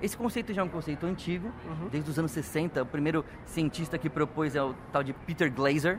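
A man with a plain, everyday voice talks at a fairly quick pace with hardly any pauses, his fairly high pitch showing ordinary pitch variation. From Brazil, São Paulo ABC region. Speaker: environmental and energy specialist. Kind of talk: interview. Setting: event venue in San Francisco.

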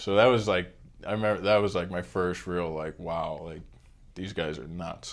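A man with an American accent speaks in a very deep, low voice at a moderate pace. His intonation is fairly even, while his loudness swings widely. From Pittsburgh, US. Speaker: hockey equipment manager. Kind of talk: casual interview.

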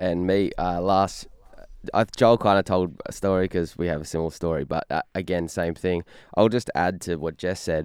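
Someone with an Australian accent speaks at a moderate pace with fairly even intonation, in a dry, close sound with no echo against a quiet background. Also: man, very deep, low pitch for a man. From Australia, Newcastle NSW. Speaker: musician in a worship band. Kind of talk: casual interview.

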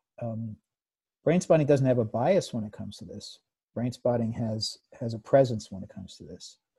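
In an American accent, a man speaks at a moderate pace with a medium pitch, a dark, mellow tone, a somewhat breathy sound, lively intonation and big swings in loudness. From United States. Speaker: psychotherapist. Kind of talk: interview. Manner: halting.

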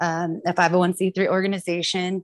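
Monotone and flat, a woman of medium pitch talks with an American accent in a dry, close sound with no echo, on a very clean recording with a silent background. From California, Woodland. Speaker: activist, sister of police killing victim, podcast host. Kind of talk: testimony.

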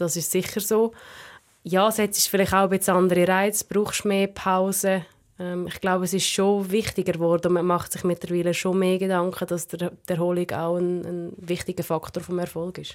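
A woman delivers her words at a moderate pace in a monotone, flat intonation. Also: medium pitch for a woman. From Central Switzerland. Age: 20s. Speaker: alpine ski racer. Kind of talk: casual interview.

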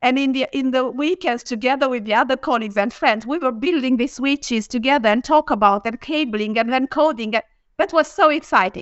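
A high-pitched woman with a Romanian accent, fairly quick and with hardly any pauses, her pitch varying in an ordinary way. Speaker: engineering executive. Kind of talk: live panel discussion.

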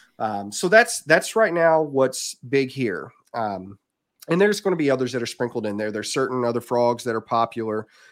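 Speaking with an American accent, a man uses lively intonation at a moderate pace. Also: medium pitch for a man. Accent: Southern US, hillbilly-tinged. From southern Indiana, US. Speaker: reptile breeder. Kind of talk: casual chat, podcast interview. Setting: video call.

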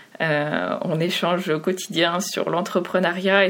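The pace is fairly slow. The intonation is monotone and flat. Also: woman. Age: 30s. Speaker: UX designer. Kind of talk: interview.

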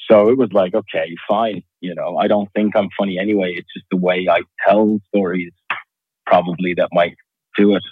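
A man with a fairly low pitch speaks in a monotone, flat intonation at a moderate pace. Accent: slight Irish. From Qatar, raised partly in Dublin. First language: Arabic. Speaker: stand-up comedian and entrepreneur. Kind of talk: podcast interview.

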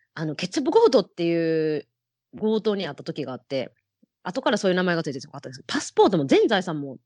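A woman speaks at a fairly quick pace with a fairly low pitch and very wide pitch swings, recorded dry and close with no echo against a quiet background. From Japan, Osaka. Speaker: hula hoop performer. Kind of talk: interview.

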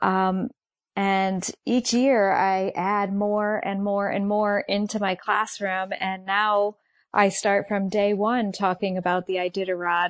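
Her intonation monotone and flat, a woman speaks at a very slow pace and a medium pitch. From Connecticut. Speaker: elementary school teacher. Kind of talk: interview.

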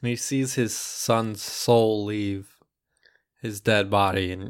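A man with an American accent, fairly low in pitch, with fairly even intonation and a very slow pace. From United States. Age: 20s. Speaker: podcast co-host. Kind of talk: casual comedic chat.

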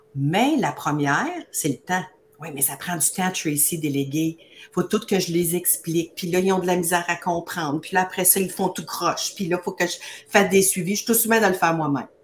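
A woman speaks in an animated tone at a fairly quick pace, her fairly low voice somewhat breathy. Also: ordinary pitch variation. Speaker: beauty business coach. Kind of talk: live-streamed promotional chat.

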